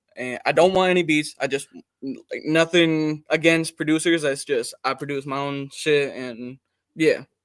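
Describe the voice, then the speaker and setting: With an American accent and a plain, everyday voice, a man talks at a fairly slow pace and fairly high pitch, his intonation fairly even but his loudness swinging widely, on a very clean recording with a silent background. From US Midwest, Warren, Michigan. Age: 18. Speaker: rapper and producer. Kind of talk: casual interview chat.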